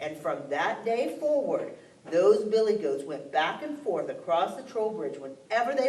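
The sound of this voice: An unforced reading voice carries the words.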